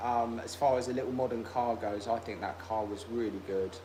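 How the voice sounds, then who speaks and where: A man with a British accent at medium pitch and moderate pace, with audible room echo and noticeable background noise. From UK. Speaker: car restoration youtuber. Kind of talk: casual livestream chat.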